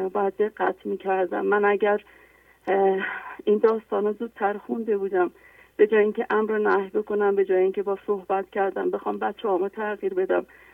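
Her pace is very fast, with monotone, flat intonation. The woman speaks at a medium pitch. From Iran, Isfahan. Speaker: caller, midwife. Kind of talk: testimony. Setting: phone call.

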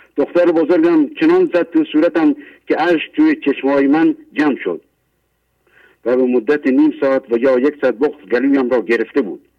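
A man talks at a moderate pace, his loudness very even throughout. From Iran, Mashhad. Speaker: caller. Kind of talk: reading prepared testimony. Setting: phone call.

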